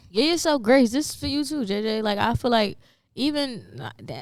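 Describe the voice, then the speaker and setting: On a very clean recording with a silent background, a woman speaks in an animated tone with lively intonation. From Philadelphia, US. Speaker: rapper. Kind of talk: podcast interview. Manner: fast.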